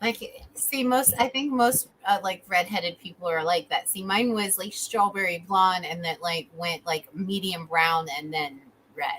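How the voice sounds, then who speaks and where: Over noticeable background noise, a woman talks fairly slowly with hardly any pauses. She has an American accent and a medium pitch with ordinary pitch variation. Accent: slight Wisconsin accent at times. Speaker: talk show host. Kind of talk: casual chat.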